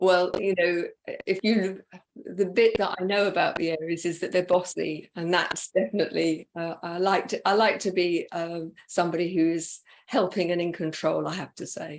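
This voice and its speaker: With an ordinary speaking voice, a woman talks at a moderate pace and a fairly low pitch, her intonation fairly even. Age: 60s. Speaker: interview host and coach. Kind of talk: interview conversation.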